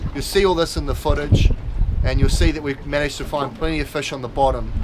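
There is loud background noise throughout. A man talks over it. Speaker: presenter. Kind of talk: tutorial. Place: boat. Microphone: camera far.

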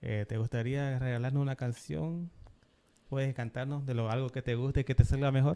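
A man's voice with a dark, mellow tone, medium pitch, ordinary pitch variation, and a moderate pace. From Bolivia. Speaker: podcast host. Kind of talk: interview. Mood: friendly, calm. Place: studio. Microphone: studio mic.

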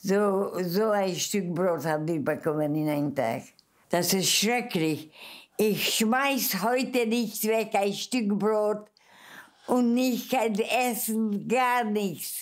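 A woman at a medium pitch, very slow pace and lively intonation, over a quiet background. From Mukachevo, western Ukraine (then Czechoslovakia). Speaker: Holocaust survivor. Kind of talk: interview answer. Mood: earnest, animated, emotional memories. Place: home room.

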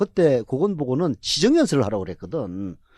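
The sound is dry and close with no echo as a man talks at a fairly quick pace. His pitch swings very widely. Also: quiet background. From South Korea, Jinju (Gyeongsang). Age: 50s. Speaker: political commentator. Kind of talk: political talk show discussion.

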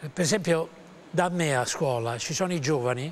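A high-pitched male voice with lively intonation over light background noise. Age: 80s+. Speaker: actor and voice actor. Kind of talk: interview answer. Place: studio. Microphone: lapel.

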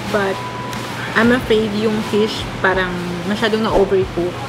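A woman at a moderate pace with ordinary pitch variation, over clear music in the background. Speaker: food reviewer. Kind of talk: casual food review vlog. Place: cafe.

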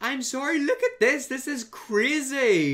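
Lively intonation marks this man's speech. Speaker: youtuber. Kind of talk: reaction video commentary. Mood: mocking, amused disbelief. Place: home room. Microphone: earbuds.

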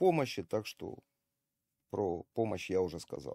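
Speaking fairly slowly, a man with a fairly low pitch and a dark, mellow tone uses lively intonation against a quiet background, the sound dry with no echo. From Ukraine (Kharkiv); Ukraine. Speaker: army volunteer medic and video blogger; video blogger. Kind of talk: video monologue to camera. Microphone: webcam.

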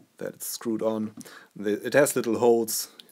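With clear background noise behind him, a man talks at a medium speed. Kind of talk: tutorial. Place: workshop.

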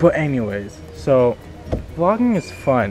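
Clear music plays in the background. A man is speaking over it. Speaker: vlogger. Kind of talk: casual vlog chat. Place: open country. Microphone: phone near.

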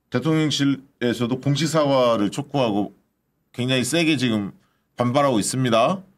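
Moderate pace and ordinary pitch variation throughout. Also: man. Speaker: political YouTube host. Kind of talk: political talk show. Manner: animated. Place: studio. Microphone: studio mic.

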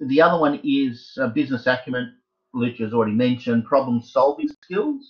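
Here is a man with an ordinary speaking voice. His pitch is fairly high and varies in an ordinary way. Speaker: university tutor. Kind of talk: lecture. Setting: video call.

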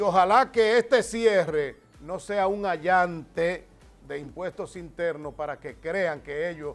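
A man's high-pitched voice with ordinary pitch variation over faint music in the background. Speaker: TV host and announcer. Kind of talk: TV news commentary. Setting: TV studio. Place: studio. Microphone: lapel.

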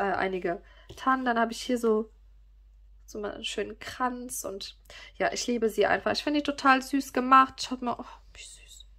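A woman's high-pitched, bright, sharp voice with ordinary pitch variation and big swings in loudness, at a moderate pace with long, frequent pauses, over a quiet background. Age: 30s. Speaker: YouTuber and online shop owner; YouTuber. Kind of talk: casual product presentation to viewers. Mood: cheerful, gushing.

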